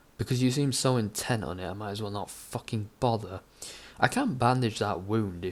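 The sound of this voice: Pitch moves in a normal way through an unforced reading voice.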